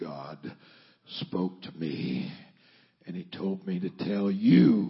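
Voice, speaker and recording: Growling in a put-on character voice, a man speaks at a very deep, low pitch and a very slow pace. Long, frequent pauses and big swings in loudness mark his delivery. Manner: solemn, booming, sermonizing.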